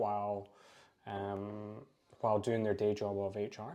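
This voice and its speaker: In a Scottish accent, a man speaks with a fairly low pitch and a dark, mellow tone. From Scotland. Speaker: recruiter. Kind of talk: podcast interview.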